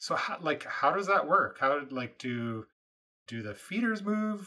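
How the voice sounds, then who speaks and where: A man with a Canadian accent talks at a fairly slow pace in a fairly high, bright, sharp voice that makes very wide pitch swings. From Canadian Prairies. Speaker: podcast host and farmer. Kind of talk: interview. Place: home room.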